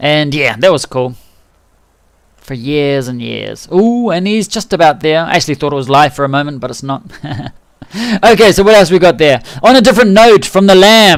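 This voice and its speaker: This man's fairly high voice swings very widely in pitch as he talks at a moderate pace. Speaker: game livestreamer. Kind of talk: casual livestream commentary. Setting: microphone too close, buzzy. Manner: relaxed, chatty.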